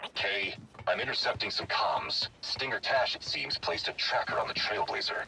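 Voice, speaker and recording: Using a put-on character voice, a man talks at a moderate pace with clear background noise behind him. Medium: video game. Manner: formal, blunt, no contractions.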